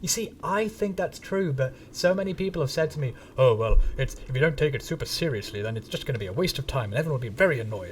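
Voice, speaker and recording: A man talks at a very fast pace with hardly any pauses, his fairly high pitch making very wide swings. Noticeable background noise runs under him. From northern England, Manchester area. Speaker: gaming streamer. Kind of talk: live stream chat. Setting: live stream. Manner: casual, halting with fillers.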